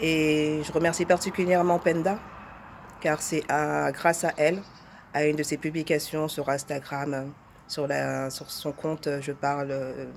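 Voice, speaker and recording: With monotone, flat intonation, a woman talks at a very deep, low pitch. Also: fairly slow pace. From France. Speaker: testimonial speaker. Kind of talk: testimony.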